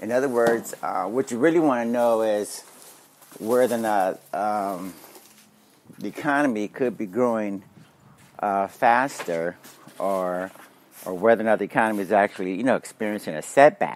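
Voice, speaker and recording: A man with a fairly low voice and ordinary pitch variation speaks at a moderate pace with long, frequent pauses, in a dry sound with no echo. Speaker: podcast host. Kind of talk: economic commentary. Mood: opinionated, slightly dismissive.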